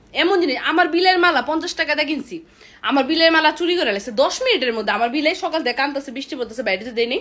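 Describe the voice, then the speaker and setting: Her intonation is lively. This woman speaks at a high pitch. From Bangladesh. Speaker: content creator. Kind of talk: vlog rant. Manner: animated.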